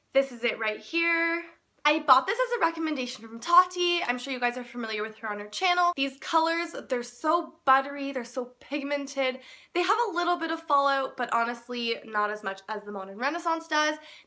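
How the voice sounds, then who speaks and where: In a Canadian accent, a woman speaks with a raised, projected voice, high pitch, lively intonation, big swings in loudness and a fairly quick pace, on a very clean recording with a silent background. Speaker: beauty blogger. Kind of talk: casual talk to camera.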